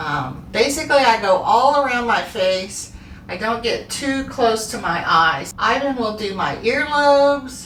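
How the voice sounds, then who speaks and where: A woman speaks with a fairly high pitch and lively intonation in a relaxed tone. Noticeable background noise runs behind her. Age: 60s. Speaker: skincare soap maker and video host. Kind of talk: casual tutorial. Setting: home bathroom. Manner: relaxed, conversational with fillers.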